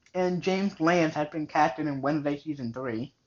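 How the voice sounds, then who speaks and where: A man talks with an American accent. His pitch sits fairly high. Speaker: podcast co-host. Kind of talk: casual chat.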